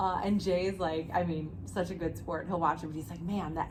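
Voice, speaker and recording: Noticeable background noise is present throughout. A woman speaks at a moderate pace. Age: 40s. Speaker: podcast host and jiu jitsu gym owner. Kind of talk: casual interview chat.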